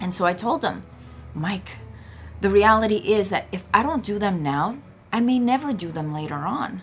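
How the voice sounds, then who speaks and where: Her American accent comes through with lively intonation and a somewhat breathy quality. The woman leaves long, frequent pauses. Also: medium pitch for a woman, moderate pace. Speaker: motivational speaker. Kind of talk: motivational talk to camera.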